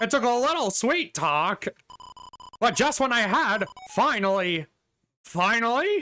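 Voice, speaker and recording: In a put-on character voice with fairly high pitch, the speaker moves at a fairly slow pace, leaving long, frequent pauses. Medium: game stream. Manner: theatrical, self-pitying.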